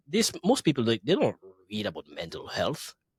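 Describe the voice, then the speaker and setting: Speaking with a Grenadian accent, a man sounds somewhat breathy on a very clean recording with a silent background. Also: dry, close sound with no echo. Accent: Caribbean (Grenadian). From Grenada. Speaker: DJ and entertainer. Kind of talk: casual interview.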